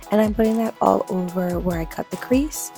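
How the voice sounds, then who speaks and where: A woman talks at a moderate pace, with music playing in the background. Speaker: beauty vlogger. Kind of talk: casual makeup tutorial voiceover. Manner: upbeat, enthusiastic.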